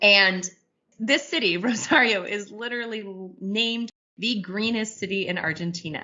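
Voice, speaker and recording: A woman's enthusiastic, medium-pitched voice at a moderate pace, with ordinary pitch variation and big swings in loudness. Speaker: podcast co-host. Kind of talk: conversational news podcast.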